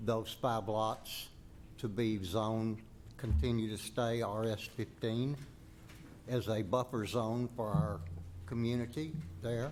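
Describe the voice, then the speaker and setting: A man in a Southern US accent at medium pitch, with audible room echo. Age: 80s+. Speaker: resident speaking at public hearing. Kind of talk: public comment at planning meeting.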